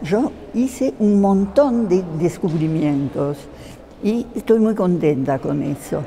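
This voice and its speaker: A woman speaks very slowly at a medium pitch, her voice swinging very widely up and down over noticeable background noise. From France, Paris. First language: French (speaking Spanish). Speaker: theatre translator. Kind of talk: interview. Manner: halting, many fillers.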